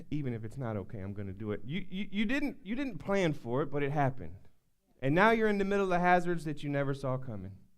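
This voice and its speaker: Talking at a very fast pace in a Southern US accent, a man with a fairly high pitch sounds animated, his pitch swinging very widely amid audible room echo. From US South. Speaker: pastor. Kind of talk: sermon. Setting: church. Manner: animated, building intensity; repetitive stammering restarts.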